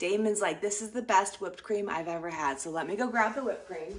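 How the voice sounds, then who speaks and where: In a room with audible echo, a woman talks at a fairly quick pace and medium pitch, with lively intonation. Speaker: cooking vlogger. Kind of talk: casual cooking tutorial.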